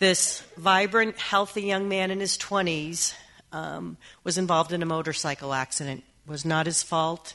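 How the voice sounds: Speaking at a fairly slow pace, a woman with a fairly low pitch keeps her intonation fairly even. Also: fairly bright tone.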